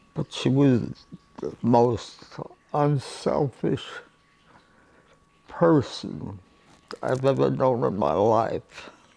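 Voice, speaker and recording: A man speaks at a very slow pace, with long, frequent pauses. Noticeable background noise runs underneath. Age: 80s+. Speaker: retired aeronautical engineer. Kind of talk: interview answer.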